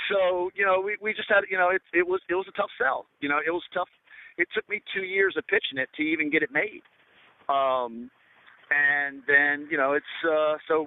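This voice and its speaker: A man speaks with a Southern US accent and a high pitch. His pace is moderate and his pitch variation ordinary. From US South. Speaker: film director. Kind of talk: interview. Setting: radio show. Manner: halting, many fillers.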